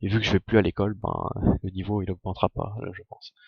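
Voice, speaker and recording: A man speaks at a fairly low pitch. His intonation is monotone and flat, and his voice is somewhat breathy. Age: 20s. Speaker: Minecraft streamer. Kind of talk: live gaming stream. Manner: casual, hesitant.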